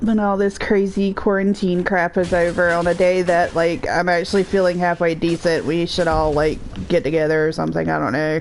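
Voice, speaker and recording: A woman with an American accent and a fairly low pitch talks at a fairly quick pace with hardly any pauses and fairly even intonation. Her loudness stays very even while music plays in the background. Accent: Southern US, thick at times. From US South. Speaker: gaming livestreamer. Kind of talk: casual chat. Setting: livestream while playing a video game.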